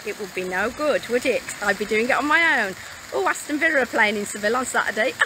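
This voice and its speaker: Over noticeable background noise, a woman with a British accent speaks at a high pitch with lively intonation. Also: dry sound with no echo. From Britain. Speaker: mobile home sales vlogger. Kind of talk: live stream walking tour. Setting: outdoors. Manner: casual, chatty. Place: street. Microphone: phone near.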